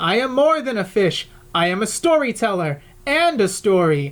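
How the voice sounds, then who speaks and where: A woman puts on a character voice with very wide pitch swings. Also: medium pitch for a woman, moderate pace. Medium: read story. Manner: calm, wise.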